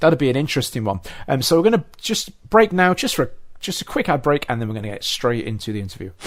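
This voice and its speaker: Medium-pitched male voice with an English accent and very wide pitch swings, on a very clean recording with a silent background. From England. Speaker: podcast host. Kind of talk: casual interview chat.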